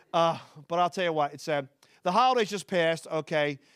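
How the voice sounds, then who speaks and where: Recorded very cleanly against a silent background, a man speaks with a Philadelphia accent. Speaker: stand-up comedian. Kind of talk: stand-up. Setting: stage with audience.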